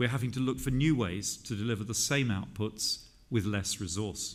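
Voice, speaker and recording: This man has a British accent and a medium pitch. He moves at a moderate pace with ordinary pitch variation. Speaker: government minister giving a conference speech. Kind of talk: formal political speech at a conference.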